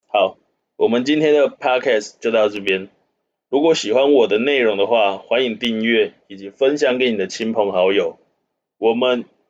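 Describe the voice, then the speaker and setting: Ordinary pitch variation and a moderate pace. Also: man, medium pitch for a man. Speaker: finance news podcast host. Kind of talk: casual chat. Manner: halting when off script.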